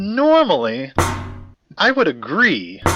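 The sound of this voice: Over faint music in the background, a man performs a put-on character voice, slow and high-pitched with very wide pitch swings and a bright, sharp tone.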